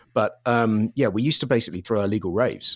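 A man with a southern English accent talks at a fairly quick pace in a fairly low pitch with ordinary pitch variation. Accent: southern English, London-area. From Surrey, south of London, England. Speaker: music producer and DJ. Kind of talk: casual interview, storytelling. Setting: video or remote call from Los Angeles.

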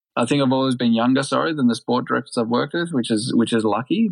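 This man talks in an Australian accent. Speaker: retired pro cyclist. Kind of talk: casual interview chat.

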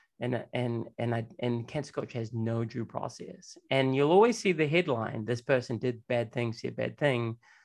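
In an ordinary speaking voice, a man talks at a moderate pace and medium pitch with ordinary pitch variation and hardly any pauses. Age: 40s. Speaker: podcast host. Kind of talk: interview.

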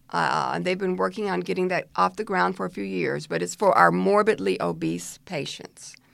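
Hardly pausing, a woman talks at a moderate pace. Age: 60s. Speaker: physician. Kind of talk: interview.

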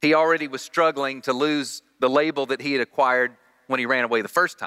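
A man with a Southern US accent talks at a fairly quick pace in a bright, sharp tone, recorded dry and close with no echo. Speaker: guest preacher. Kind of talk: sermon. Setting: church.

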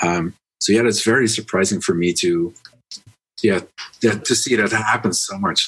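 A man with a Dutch accent speaks at a moderate pace in a fairly low voice, with fairly even intonation and long, frequent pauses. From Netherlands. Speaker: business podcast host. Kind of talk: podcast interview. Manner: halting, many fillers.

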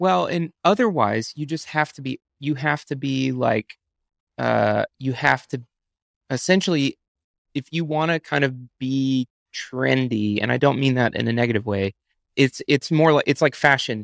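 With an unremarkable speaking voice, a man talks at medium pitch and a moderate pace with ordinary pitch variation, in a dry, close sound with no echo. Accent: American. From Texas. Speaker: film director. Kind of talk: casual interview chat.

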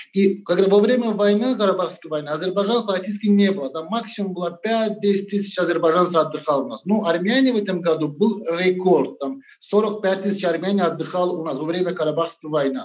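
The speaker talks at a fairly quick pace with hardly any pauses, in a Turkish accent. Noticeable background noise runs underneath. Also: man, high pitch for a man, ordinary pitch variation. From Turkey. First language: Turkish (speaking Russian). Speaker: restaurant owner. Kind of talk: interview.

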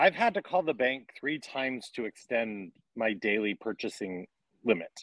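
A man's ordinary speaking voice at medium pitch and a moderate pace. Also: dry, close sound with no echo. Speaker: podcast host. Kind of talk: casual banter, comedy chat. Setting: video call.

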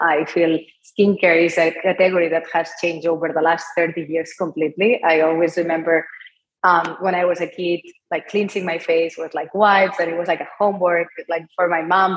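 The intonation is monotone and flat, delivered in a Spanish accent. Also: woman, fairly low pitch for a woman, moderate pace. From Spain, Barcelona. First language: Spanish or Catalan. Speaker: entrepreneur, company founder. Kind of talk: interview.

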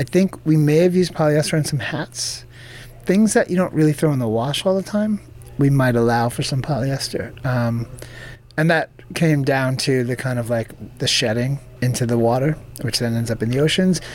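An unremarkable speaking voice from a man, medium in pitch, with ordinary pitch variation at a moderate pace. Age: 40s. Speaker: clothing brand founder. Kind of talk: interview.

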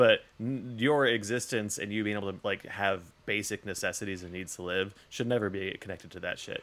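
A man with an American accent and an ordinary speaking voice moves at a fairly quick pace with hardly any pauses, his fairly low pitch held in fairly even intonation. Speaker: podcast host. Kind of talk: casual chat. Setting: remote recording.

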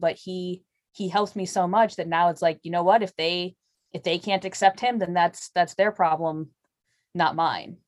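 In an American accent, a woman with an unremarkable speaking voice and medium pitch talks at a moderate pace with fairly even intonation, recorded dry and close with no echo. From Chicago area. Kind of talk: casual interview chat.

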